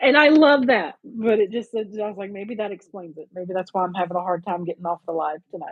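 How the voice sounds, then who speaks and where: Talking at a fairly quick pace with hardly any pauses, a woman with a Southern US accent uses lively intonation at a medium pitch, her loudness swinging widely. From US South. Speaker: crafting livestream host. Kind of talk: casual chat. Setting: livestream.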